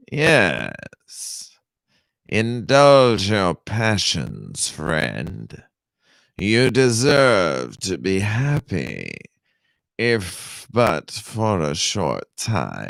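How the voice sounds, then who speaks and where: A man puts on a character voice, raised and projected, with a fairly low pitch and very wide pitch swings. He goes at a very slow pace on a very clean recording with a silent background. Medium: read story.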